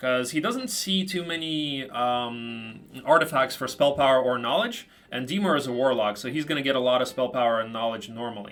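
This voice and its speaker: In an ordinary speaking voice with an American accent, a man talks at a moderate pace and medium pitch, with ordinary pitch variation and hardly any pauses. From Ukraine, with about twelve years in the US. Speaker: game commentator. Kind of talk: live commentary. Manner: casual, many filler words.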